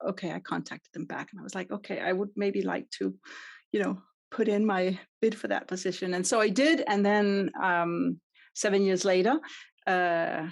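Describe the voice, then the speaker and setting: Talking at a fairly quick pace, a woman with a Danish accent speaks at medium pitch. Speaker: customer experience consultant. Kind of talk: podcast interview.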